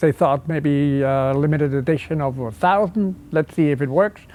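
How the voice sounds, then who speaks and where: Speaking with a German accent, a man has a fairly high pitch. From Switzerland. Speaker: car designer. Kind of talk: interview.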